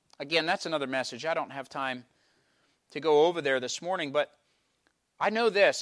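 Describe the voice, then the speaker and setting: In a very clean recording with a silent background, a man with an eastern Pennsylvania accent speaks at a fairly high pitch with lively intonation. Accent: eastern Pennsylvania American. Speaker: pastor. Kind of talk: sermon. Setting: church.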